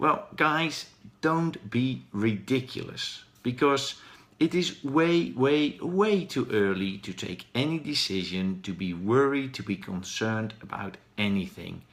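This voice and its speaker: A man with a Dutch accent speaks at a medium pitch, his voice swinging very widely up and down at a very slow pace. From Netherlands. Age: 40s. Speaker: professional speaker. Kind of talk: live stream talk. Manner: hesitant, with fillers.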